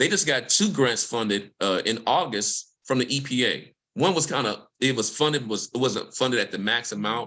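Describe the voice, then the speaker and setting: A man with a Mississippi accent speaks in a bright, sharp tone. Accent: US Southern (Mississippi). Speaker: environmental justice researcher. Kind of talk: panel discussion. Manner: fast.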